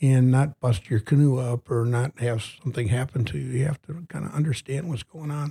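Somewhat breathy and dark, mellow in tone, a man speaks at a fairly high pitch with fairly even intonation, in a dry, close sound with no echo on a very clean recording with a silent background. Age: 70s. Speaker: retired biology teacher and wilderness canoeist. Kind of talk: interview. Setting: studio.

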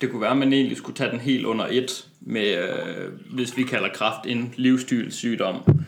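A man with a normal speaking voice talks at a fairly slow pace with hardly any pauses and ordinary pitch variation. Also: medium pitch for a man. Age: 20s. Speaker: personal trainer and medical student. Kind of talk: interview. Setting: studio.

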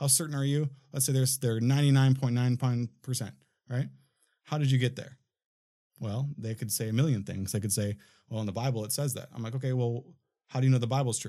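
A man with an American accent, medium pitch and a dark, mellow tone, talking at a very fast pace with fairly even intonation and long, frequent pauses. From Minnesota, US. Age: 30s. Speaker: filmmaker and studio owner. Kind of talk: casual chat. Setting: studio.

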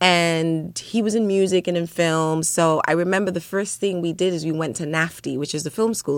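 An unremarkable speaking voice with an American accent moves at a fairly slow pace with ordinary pitch variation, recorded very cleanly against a silent background. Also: woman. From Ghana, with years in UK and Philadelphia. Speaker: actress and producer. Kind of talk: radio interview. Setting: studio.

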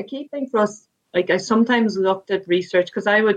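A woman with an Irish accent at a moderate pace. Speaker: sports administrator and former rugby player. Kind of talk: interview.

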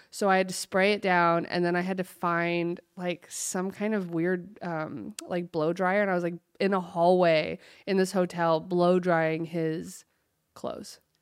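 In a very clean recording with a silent background, a woman speaks at a fairly slow pace in a fairly low pitch with flat, monotone intonation. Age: 30s. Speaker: podcast co-host. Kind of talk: casual chat.

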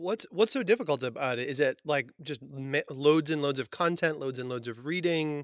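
An ordinary speaking voice talks with an American accent at a moderate pace, with hardly any pauses. Pitch variation is ordinary, and the sound is dry and close with no echo. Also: man, fairly high pitch for a man. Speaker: podcast host and biology teacher. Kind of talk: casual interview chat. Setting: remote recording.

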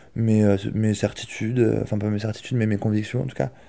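On a very clean recording with a silent background, a man speaks with monotone, flat intonation. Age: 20s. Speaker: aspiring entrepreneur, video director. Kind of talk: interview testimony. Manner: casual.

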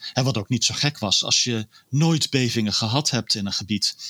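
With a bright, sharp tone and medium pitch, a man talks at a moderate pace with ordinary pitch variation, captured in a very clean recording, silent background, with a dry, close sound and no echo. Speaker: energy analyst. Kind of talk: casual interview. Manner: halting.

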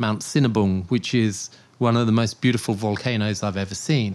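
A man speaks in a southern English accent at a moderate pace. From southern England, Portsmouth. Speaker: storm and volcano chaser, news videographer. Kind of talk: casual interview.

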